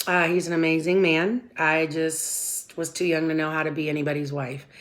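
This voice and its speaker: With an American accent, a woman speaks in a very deep, low voice. Noticeable noise sits in the background. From Southern California. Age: 40s. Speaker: vlogger. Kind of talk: casual personal vlog. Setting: at home before work.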